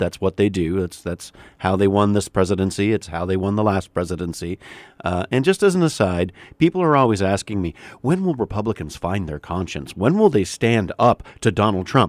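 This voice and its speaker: Here is a man with a Canadian accent and an unremarkable speaking voice, pitched fairly low. He talks at a fairly quick pace in a very clean recording with a silent background. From Canada. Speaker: political commentator. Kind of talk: casual political discussion on radio.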